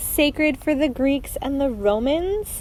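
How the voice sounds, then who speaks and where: Noticeable background noise sits behind a woman with a high pitch. She speaks at a fairly slow pace with lively intonation. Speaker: knitting podcaster. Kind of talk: casual podcast monologue. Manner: chatty, filler-heavy.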